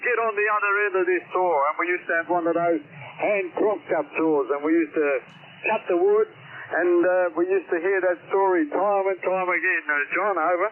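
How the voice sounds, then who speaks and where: Over noticeable background noise, a man speaks with an Australian accent. His pitch is high and his intonation fairly even. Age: 70s. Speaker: amateur radio operator. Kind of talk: radio contact chat. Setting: radio transmission. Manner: halting.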